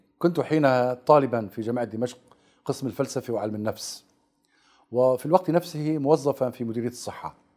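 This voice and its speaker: A dark, mellow tone at a moderate pace against a quiet background. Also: man, medium pitch for a man, ordinary pitch variation. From Aleppo, Syria; Syria. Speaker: researcher and writer; interviewee. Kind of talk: TV interview. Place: studio. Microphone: lapel.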